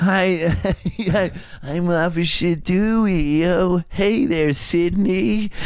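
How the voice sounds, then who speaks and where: A put-on character voice at a middle pitch and a very slow pace, with light background noise. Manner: goofy, friendly.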